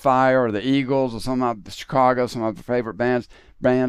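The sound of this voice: An unforced reading voice carries the whole passage.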